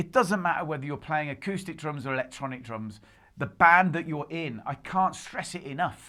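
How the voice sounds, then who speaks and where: In a very clean recording with a silent background, someone speaks at a moderate pace with a British accent. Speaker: drum tutorial youtuber. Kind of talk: tutorial. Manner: casual, chatty.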